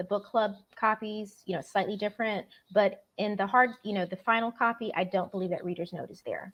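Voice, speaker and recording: A woman speaks at a fairly quick pace with a medium pitch and fairly even intonation, and her loudness swings widely. She has an unremarkable speaking voice. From Florida. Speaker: novelist. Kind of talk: interview. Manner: casual, uses many fillers.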